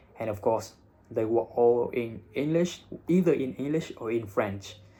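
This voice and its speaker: With a Vietnamese accent, the voice has a dark, mellow tone, a fairly slow pace and ordinary pitch variation. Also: man, medium pitch for a man. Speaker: English teacher and IELTS content creator. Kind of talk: casual vlog monologue.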